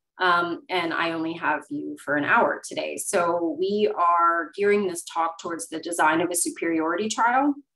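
In an ordinary speaking voice, a woman talks at a moderate pace with a fairly low pitch and ordinary pitch variation against a quiet background. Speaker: webinar presenter. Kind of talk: lecture. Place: home room. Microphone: webcam.

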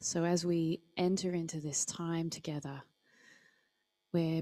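A woman speaks with an Australian accent. Her pitch is fairly low and her pace fairly slow. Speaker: service co-host. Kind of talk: church service hosting and prayer. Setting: church hall, livestreamed. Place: church. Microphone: handheld.

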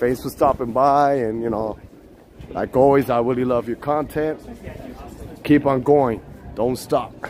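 Fairly slow speech with long, frequent pauses and faint music in the background. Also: man, medium pitch for a man. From Puerto Rico. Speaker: live streamer. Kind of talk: live-stream walking vlog chat. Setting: outdoors. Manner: animated; talkative. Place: street. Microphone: phone near.

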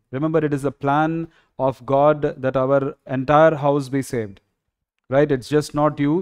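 A man's fairly even intonation and moderate pace come through against a quiet background. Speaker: pastor. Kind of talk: sermon teaching. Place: home room. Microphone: headset.

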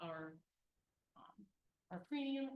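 A woman is speaking here. Her pace is fairly slow. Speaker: city finance official presenting budget. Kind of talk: budget presentation at council meeting.

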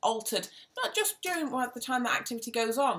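This woman talks at a fairly quick pace. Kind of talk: lecture-style explanation of research. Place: home room. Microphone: webcam.

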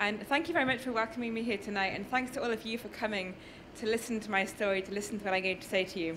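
Talking fast in a northern English accent, a woman keeps a medium pitch and fairly even intonation.

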